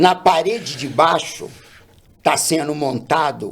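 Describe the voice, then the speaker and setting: A man talks at a very slow pace in a fairly high pitch. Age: 70s. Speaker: boxing coach, martial arts master. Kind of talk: podcast interview, casual chat.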